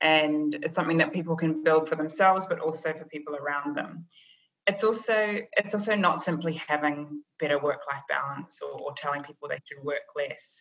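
Speaking at a moderate pace with a New Zealand accent, a woman has a very deep, low pitch. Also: ordinary pitch variation. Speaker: business psychologist, leadership consultant. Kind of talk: interview podcast.

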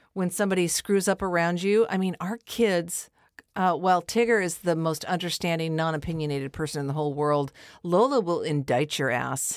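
In a very clean recording over a silent background, a woman uses a normal speaking voice, fairly low in pitch, at a moderate pace with ordinary pitch variation. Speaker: podcast host. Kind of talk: casual chat. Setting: home podcast studio.

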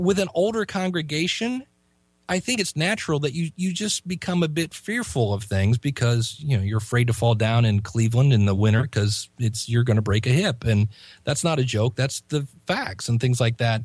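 In an American accent, a somewhat breathy man at medium pitch talks at a moderate pace with very wide pitch swings and very even loudness, his dry, close sound carrying no echo against a quiet background. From US Midwest, Ohio. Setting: Skype call.

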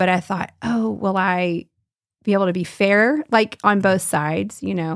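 A woman with an American accent, a plain, everyday voice, medium pitch, lively intonation and a fairly slow pace, on a very clean recording with a silent background. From US South. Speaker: art teacher. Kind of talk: casual chat.

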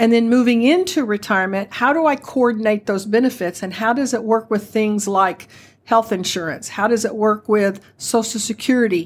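A woman with a plain, everyday voice talks at a moderate pace and a fairly high pitch, with ordinary pitch variation and hardly any pauses. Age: 60s. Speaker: retirement benefits advisor, retired postal manager. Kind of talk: podcast interview.

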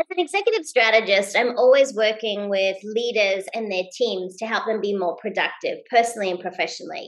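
Speaking fairly quickly with hardly any pauses, a woman with an Australian accent has a fairly high pitch and ordinary pitch variation over noticeable background noise. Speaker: leadership expert and keynote speaker. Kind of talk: interview. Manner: high energy; fast-paced.

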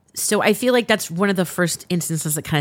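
On a very clean recording with a silent background, a woman with an American accent talks at a fairly quick pace with lively intonation. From US West Coast, Los Angeles (San Fernando Valley). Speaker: podcast host. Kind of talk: casual interview.

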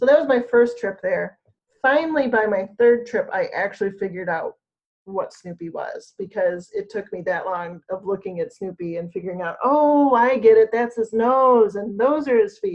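A woman with an American accent has an ordinary speaking voice and a fairly high pitch. She speaks at a moderate pace with lively intonation and big swings in loudness. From Michigan. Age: 50s. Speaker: environmental consultant. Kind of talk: casual interview.

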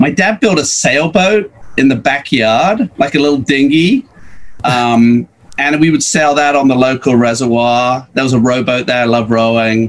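Over noticeable background noise, a man talks at a moderate pace and medium pitch, his loudness very even. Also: ordinary pitch variation. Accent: American. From Birmingham, England. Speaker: podcast guest. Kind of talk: casual interview chat.

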